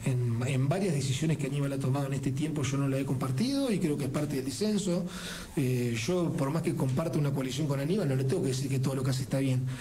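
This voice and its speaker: Against light background noise, a man speaks with ordinary pitch variation. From Buenos Aires province, Argentina. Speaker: elected provincial legislator; politician guest. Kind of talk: radio interview. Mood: critical, argumentative. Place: studio. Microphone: studio mic.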